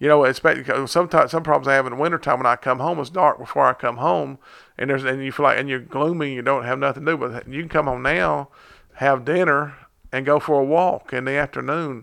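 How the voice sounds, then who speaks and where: In a quiet background, a man talks very fast at a fairly high pitch. His tone is bright and sharp, with fairly even intonation. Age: 40s. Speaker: fitness podcast host and personal trainer. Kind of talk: casual chat. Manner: halting.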